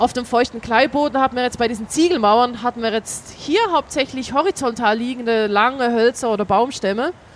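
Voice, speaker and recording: With a Swiss German accent, a woman speaks at a high pitch and fairly quick pace, hardly pausing, her pitch varying in an ordinary way over noticeable background noise. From Switzerland. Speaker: archaeologist, excavation leader. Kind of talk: interview on site. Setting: outdoors at an excavation site.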